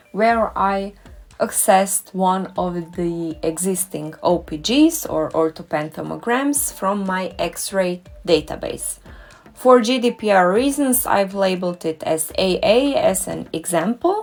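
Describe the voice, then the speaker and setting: Music plays in the background as a woman at a medium pitch speaks at a fairly slow pace with lively intonation. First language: German or Croatian. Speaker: dentist and doctoral researcher. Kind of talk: tutorial.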